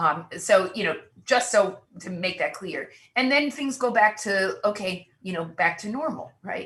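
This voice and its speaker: In an ordinary speaking voice, a woman talks fairly slowly at a medium pitch, with big swings in loudness. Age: 60s. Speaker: artist and cultural critic. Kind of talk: panel discussion.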